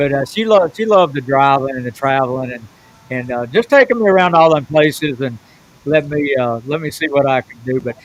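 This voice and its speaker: A man with a Southern US accent at a very fast pace. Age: 70s. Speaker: professional bass fisherman. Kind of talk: podcast interview storytelling.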